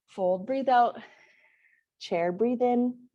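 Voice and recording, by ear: A woman speaks at a very slow pace, her pitch fairly high with ordinary variation. Her tone is dark and mellow.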